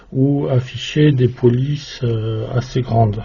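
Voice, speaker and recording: A man's somewhat breathy voice moves along at a very slow pace. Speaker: electronics hobbyist YouTuber. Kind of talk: tutorial. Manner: monotone; hesitant, many filler sounds.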